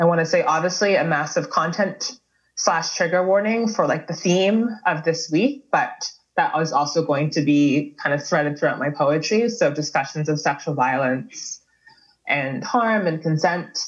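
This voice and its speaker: In an ordinary speaking voice, a woman talks at a moderate pace with a fairly low pitch and very even loudness. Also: lively intonation. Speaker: artist and activist giving keynote. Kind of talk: keynote speech. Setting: webinar video call.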